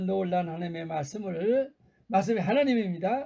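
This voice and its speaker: A man talks in a high voice with a dark, mellow tone. His pitch swings very widely at a fairly slow pace. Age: 80s+. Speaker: retired pastor. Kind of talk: sermon. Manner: halting, many fillers.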